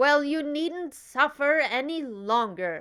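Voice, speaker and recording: A woman's put-on character voice, high-pitched with lively intonation at a fairly slow pace, on a very clean recording with a silent background. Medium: read story. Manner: brisk, stern.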